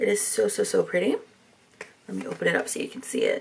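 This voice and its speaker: Through noticeable background noise, a woman speaks at a very fast pace. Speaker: beauty YouTuber. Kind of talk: casual makeup tutorial talk to camera.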